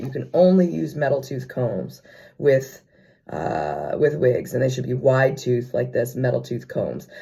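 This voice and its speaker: The man's voice is somewhat breathy and medium in pitch. He keeps a moderate pace. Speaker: theater company owner and performer. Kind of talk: casual talk to camera tutorial. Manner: casual, hesitant.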